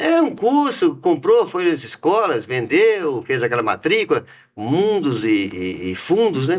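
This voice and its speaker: Speaking in a Minas Gerais accent at a fairly slow pace with hardly any pauses, a man swings very widely in pitch on a very clean recording with a silent background. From Minas Gerais, Brazil (raised in Itabira). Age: 60s. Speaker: business founder. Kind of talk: interview.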